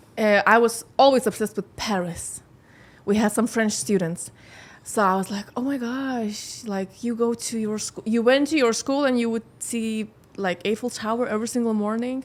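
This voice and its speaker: With a slight Scandinavian accent, a woman speaks at a moderate pace using fairly even intonation. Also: fairly high pitch for a woman. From Lithuania. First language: Lithuanian. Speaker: model and singer. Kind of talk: podcast interview. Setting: studio. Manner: halting.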